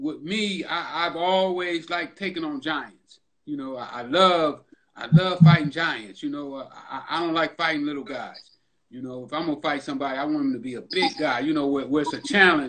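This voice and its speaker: A man at a moderate pace, with ordinary pitch variation and big swings in loudness, over light background noise. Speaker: podcast host. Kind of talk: casual interview conversation. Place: home room. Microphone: video call.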